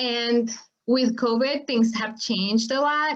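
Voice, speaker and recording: A woman with a plain, everyday voice. She talks at a moderate pace with fairly even intonation. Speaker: farmworker advocacy nonprofit director. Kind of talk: webinar presentation. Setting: online webinar.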